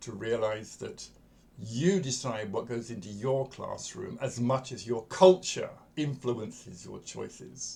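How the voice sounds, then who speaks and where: A somewhat breathy man at a medium pitch with lively intonation, amid audible room echo. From England. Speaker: coach and educator. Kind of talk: lecture. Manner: conversational, with fillers.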